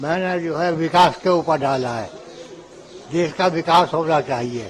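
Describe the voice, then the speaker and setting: A man's fairly high voice with ordinary pitch variation against noticeable background noise. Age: 80s+. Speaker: voter. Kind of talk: street interview.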